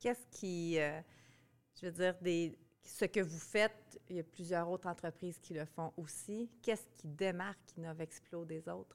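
In a Quebec accent, a woman talks at a fairly slow pace with hardly any pauses and fairly even intonation. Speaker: podcast host, marketing agency head. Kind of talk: casual interview. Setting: conference.

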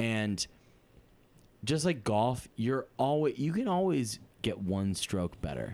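A man with an American accent speaks very slowly, with long, frequent pauses and very even loudness. His medium pitch swings very widely. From Massachusetts. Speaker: comedian. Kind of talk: casual chat.

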